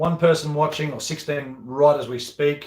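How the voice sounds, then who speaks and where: A somewhat breathy voice at a moderate pace, in an Australian accent. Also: man. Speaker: golf professional and video host. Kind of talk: live Q&A chat. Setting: at home. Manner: rambling, repetitive.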